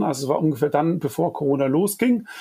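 A man's lively intonation at a moderate pace. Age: 40s. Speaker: design agency owner and climate activist. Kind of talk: interview. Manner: hesitant with frequent fillers.

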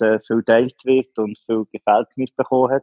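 A man with a plain, everyday voice. His pitch is medium and his pace fairly quick. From Switzerland, canton Solothurn. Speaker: business owner. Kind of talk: interview. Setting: phone call.

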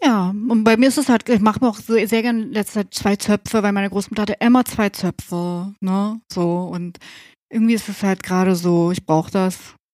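Her voice dry and close with no echo, a woman talks at a moderate pace in a plain, everyday voice of medium pitch with fairly even intonation. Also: very clean recording, silent background. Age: 40s. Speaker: tattoo artist and studio owner. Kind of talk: casual chat.

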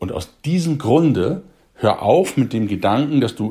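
Somewhat breathy, a man talks at a fairly slow pace with very wide pitch swings. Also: very clean recording, silent background. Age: 40s. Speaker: youth coach, podcast host. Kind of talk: motivational podcast monologue.

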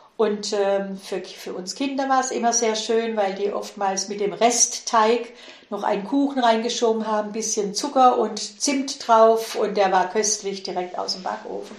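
A woman's fairly high, fairly even voice at a fairly slow pace, amid audible room echo and noticeable background noise. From Swabia, Heilbronn district, southern Germany. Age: 70s. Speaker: interviewee sharing childhood memories. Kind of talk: casual interview.

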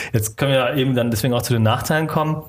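Somewhat breathy and medium in pitch, a man speaks with fairly even intonation. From Germany, Stuttgart area (Swabia), Vietnamese family. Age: 30s. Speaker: filmmaker. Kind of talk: casual interview.

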